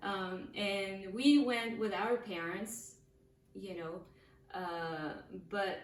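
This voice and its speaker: A woman's medium-pitched voice at a very slow pace, with ordinary pitch variation, audible room echo and noticeable background noise. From France. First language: French. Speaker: podcast co-host, painter. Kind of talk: casual chat. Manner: halting, many fillers.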